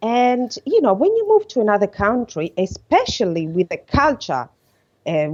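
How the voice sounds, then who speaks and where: With an Italian accent and a dark, mellow tone, a woman speaks at a fairly slow pace. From Italy. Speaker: podcast guest, coach. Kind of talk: podcast interview. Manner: halting.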